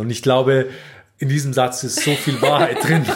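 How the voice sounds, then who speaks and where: Intonation stays monotone and flat as a man speaks at a medium pitch. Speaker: relationship podcast host. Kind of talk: casual chat. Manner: halting.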